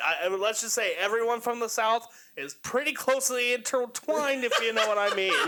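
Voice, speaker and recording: Over noticeable background noise, a man uses a raised, projected voice at an extremely high pitch and a fairly quick pace. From Kentucky. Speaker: podcast host. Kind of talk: casual chat. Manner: animated.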